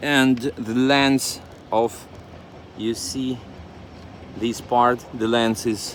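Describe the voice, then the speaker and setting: At a very slow pace, a man speaks at medium pitch with monotone, flat intonation. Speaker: motorcycle hobbyist vlogger. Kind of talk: casual video blog, hands-on demo. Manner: halting, many fillers and repeats.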